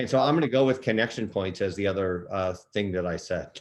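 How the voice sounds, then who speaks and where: This man has an ordinary speaking voice with a fairly low pitch. He talks at a fairly quick pace. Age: 60s. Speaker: nonprofit executive. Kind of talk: Q&A in online workshop.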